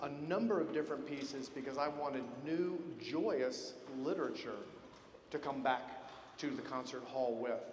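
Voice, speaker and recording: A man with an American accent talks at a fairly slow pace with ordinary pitch variation. Noticeable background noise and audible room echo fill the recording. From Georgia, US South. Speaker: military band conductor. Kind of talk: concert introduction speech. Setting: concert hall stage with audience. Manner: conversational, friendly.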